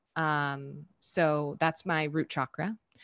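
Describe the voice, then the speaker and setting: Against a quiet background, a woman with an American accent speaks in a bright, sharp tone at a very deep, low pitch, the sound dry and close with no echo. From Southern California. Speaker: yoga teacher. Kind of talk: casual interview.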